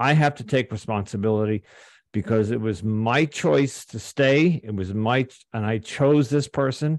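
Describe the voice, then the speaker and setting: A man at medium pitch and moderate pace, with ordinary pitch variation, the sound dry and close with no echo and the background quiet. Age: 60s. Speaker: guest sharing recovery and relationship story. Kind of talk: interview testimony. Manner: halting, with many repeated words.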